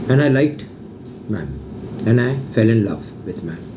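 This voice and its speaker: Moderate-paced speech from a man, with audible room echo. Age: 60s. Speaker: social media vlogger. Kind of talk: personal video update. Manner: emotional, repetitive.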